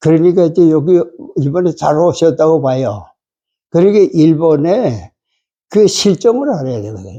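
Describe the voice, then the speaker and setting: Lively intonation and a dark, mellow tone at a moderate pace, with long, frequent pauses over a quiet background. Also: man, fairly high pitch for a man. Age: 80s+. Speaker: retired pastor. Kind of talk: interview. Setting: interview in Tokyo.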